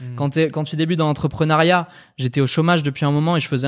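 An ordinary speaking voice from a man, fairly high in pitch with ordinary variation, on a very clean recording with a silent background. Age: 20s. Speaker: entrepreneur and video designer. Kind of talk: casual chat. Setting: live stream.

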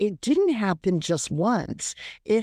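On a very clean recording with a silent background, a woman speaks in a dark, mellow tone. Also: dry, close sound with no echo. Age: 70s. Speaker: stroke survivor storyteller. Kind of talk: reading aloud personal story.

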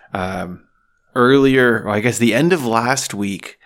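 A man's normal speaking voice with a Canadian accent, fairly slow, with ordinary pitch variation, in a very clean recording with a silent background. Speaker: podcast host. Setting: cottage dining room.

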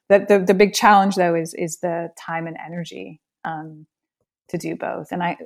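Vocal fry colors a woman's fairly low voice, and her intonation stays fairly even. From northern Scotland. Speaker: systems engineer and installation artist. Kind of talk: interview conversation. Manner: halting.

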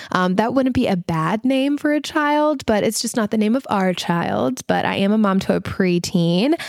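With an American accent, a woman speaks at a moderate pace and a fairly high pitch, her animated tone carrying very wide pitch swings at very even loudness with hardly any pauses, all in a dry, close sound with no echo on a very clean recording with a silent background. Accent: Southern US, slight to moderate. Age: 30s. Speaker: podcast host, stylist and mother. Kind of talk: casual solo podcast chat. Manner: animated, chatty, laughs often.

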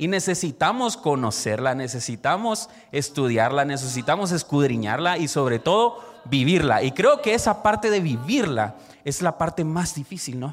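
Noticeable background noise sits behind a man with a fairly high pitch, very wide pitch swings and a moderate pace. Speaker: church youth leader. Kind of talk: sermon-style talk.

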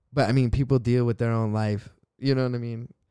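A man speaks at a moderate pace with a dark, mellow tone. His intonation stays fairly even. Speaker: podcast co-host. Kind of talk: casual chat.

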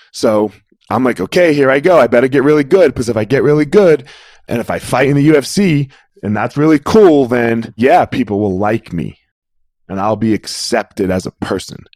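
A man at medium pitch with an American accent and an unremarkable speaking voice, lively intonation, moderate pace, and a dry, close sound with no echo. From US Northeast, South Jersey. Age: 40s. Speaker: former MMA fighter and martial arts coach. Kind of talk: interview.

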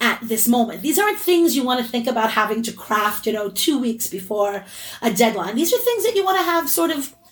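In a normal speaking voice, a woman talks at a fairly quick pace with a fairly high pitch and lively intonation. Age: 40s. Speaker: college essay coach. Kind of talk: interview.

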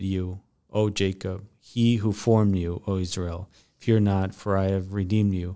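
At a fairly slow pace, a man speaks in a fairly low pitch with a dark, mellow tone and monotone, flat intonation. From Mexico. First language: Spanish. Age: 30s. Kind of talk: podcast interview. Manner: halting.

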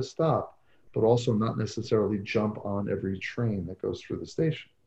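Somewhat breathy, with a dark, mellow tone, a man speaks at medium pitch and a moderate pace. His pitch variation is ordinary, and the background is quiet. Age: 40s. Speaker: psychologist and author on coaching. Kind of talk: podcast interview.

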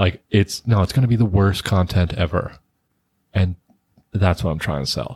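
With an American accent, a man talks at a moderate pace with long, frequent pauses, in a very deep, low pitch and a somewhat breathy voice, the sound dry and close with no echo. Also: ordinary pitch variation. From New Jersey. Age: 20s. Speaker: podcast co-host, middle school teacher. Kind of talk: casual chat. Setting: studio.

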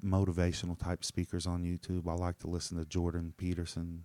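On a very clean recording with a silent background, a man's very deep, low voice has a dark, mellow tone and a dry, close sound with no echo. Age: 40s. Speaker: podcaster. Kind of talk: solo monologue. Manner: fast when excited, fumbling; casual, profane, self-deprecating.

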